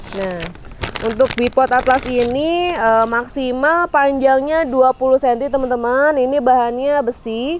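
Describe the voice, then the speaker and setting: A woman with a high pitch talks at a fairly slow pace with long, frequent pauses. The sound is dry with no echo, over light background noise. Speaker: online shop admin and sales presenter. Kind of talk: sales pitch, product showcase. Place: garden.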